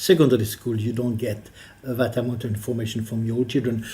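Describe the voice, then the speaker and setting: Someone speaks at a fairly quick pace with a French accent. The voice is somewhat breathy. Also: man. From France. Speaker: politician, member of the Scottish Parliament. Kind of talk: interview answer.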